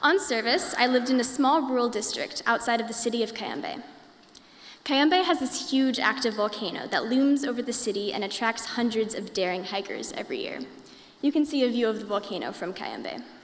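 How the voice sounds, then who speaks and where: Someone with an American accent talks fairly quickly with lively intonation over noticeable background noise. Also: woman, high pitch for a woman. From Indiana, US. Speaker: college student. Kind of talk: prepared talk.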